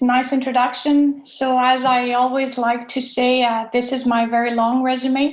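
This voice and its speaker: A woman's high-pitched, monotone, flat voice with a French Canadian accent. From Quebec, Canada. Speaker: dairy scientist. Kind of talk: conference talk.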